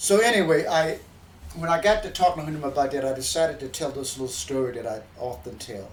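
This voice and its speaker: A man talks very fast in a fairly high voice, his intonation lively and his loudness swinging widely. Room echo is audible. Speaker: musician and show host who entertains seniors. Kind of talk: casual storytelling monologue. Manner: halting, many repeats and fillers.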